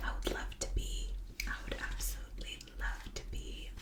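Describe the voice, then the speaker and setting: Fairly slow whispering from a woman, noticeable background noise behind her. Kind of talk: whispered reading and rambling for sleep. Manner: whispered, soft-spoken.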